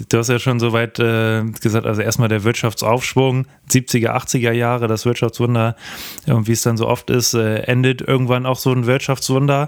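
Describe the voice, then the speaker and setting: Loudness stays very even throughout. The intonation is monotone and flat. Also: man, medium pitch for a man, moderate pace. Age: 20s. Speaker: podcast co-host. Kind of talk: casual finance chat.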